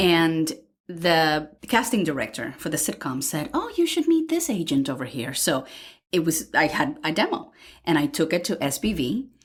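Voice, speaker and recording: A woman with a Miami accent at a moderate pace. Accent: Spanish-accented English, Miami rhythm. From Cuba, then Miami (Hialeah). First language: Spanish. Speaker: voice actor. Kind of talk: interview.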